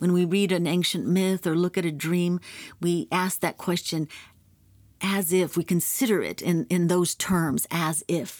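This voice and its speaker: In an ordinary speaking voice, a woman with a fairly low pitch and ordinary pitch variation is heard on a very clean recording with a silent background. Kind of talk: storytelling narration. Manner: slow, measured, solemn reading aloud.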